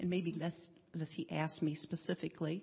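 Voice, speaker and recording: A woman speaks at a fairly low pitch with vocal fry. Her pitch varies in an ordinary way. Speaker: hospice volunteer.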